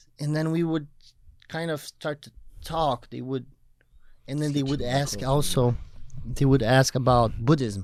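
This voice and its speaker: Speaking at a fairly slow pace, a man with a Portuguese accent keeps his intonation fairly even. His pitch is fairly high. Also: long, frequent pauses, big swings in loudness. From southern Brazil. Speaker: personal trainer and bodybuilder. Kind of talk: podcast interview. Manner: halting.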